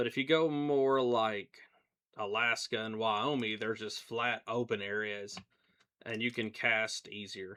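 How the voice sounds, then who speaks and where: In a relaxed yet bright, sharp tone, a man speaks at a fairly slow pace with a medium pitch and fairly even intonation. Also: quiet background. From US South. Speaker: gaming streamer. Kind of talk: casual live stream chat. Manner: relaxed, conversational.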